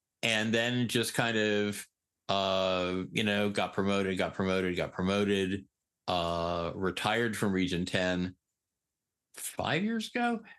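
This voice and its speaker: Against a quiet background, a man with a plain, everyday voice speaks fairly slowly at a fairly low pitch, with fairly even intonation and very even loudness. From Eastern Connecticut. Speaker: peer recovery specialist. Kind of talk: interview.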